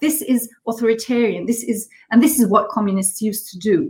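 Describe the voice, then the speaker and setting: At a fairly quick pace, a woman talks with a fairly high pitch, ordinary pitch variation and a somewhat breathy quality. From Germany. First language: German. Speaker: politician, member of European Parliament. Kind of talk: political interview. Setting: video call from home quarantine. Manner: halting.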